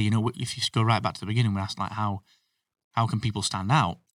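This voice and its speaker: With a British accent and a medium pitch, a man speaks in a very clean recording with a silent background and a dry, close sound with no echo. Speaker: podcasting expert and business owner. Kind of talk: casual interview chat. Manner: self-deprecating, humorous.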